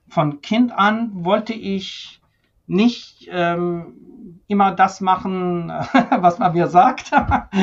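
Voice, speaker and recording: A high-pitched man speaks at a very slow pace. His pitch varies in an ordinary way. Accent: Persian. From Iran (Tehran), moved to Germany at 13. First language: Persian (speaking German). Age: 50s. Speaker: senior physician, ventilation medicine expert. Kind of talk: interview conversation.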